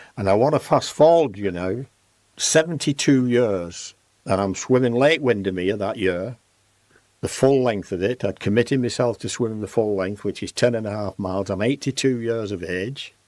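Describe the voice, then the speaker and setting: Very clean recording with a silent background of a man at a moderate pace, with a fairly low pitch and ordinary pitch variation. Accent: Lancashire. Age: 80s+. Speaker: fitness industry pioneer, gym founder. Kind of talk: interview storytelling. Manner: animated.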